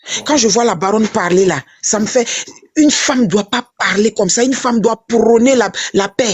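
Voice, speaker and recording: Keeping a very even loudness, a woman talks at a fairly high pitch and a moderate pace, with ordinary pitch variation. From Côte d'Ivoire. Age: 60s. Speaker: political commentator. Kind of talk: casual chat. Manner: animated; halting.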